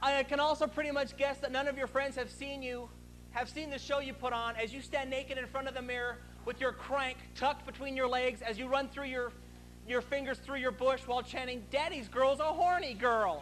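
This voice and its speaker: Loud, extremely high-pitched speech from a man at a fairly quick pace, fairly even intonation and music in the background. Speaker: stand-up comedian. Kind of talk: profane stand-up rant in front of a live crowd. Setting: stage with audience. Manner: aggressive, crude ranting with mock-indignant scolding; loud crowd-pumping bravado. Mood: sarcastic, ranting. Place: stage. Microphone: lapel.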